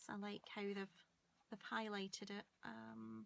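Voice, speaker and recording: A woman of medium pitch speaks with a Scottish accent. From Scotland. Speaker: paper crafter. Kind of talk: crafting tutorial. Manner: hesitant, many ums.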